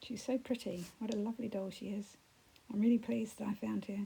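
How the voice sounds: Croaky and hoarse, a woman's put-on character voice sits at a medium pitch. She talks at a fairly quick pace in a flat monotone.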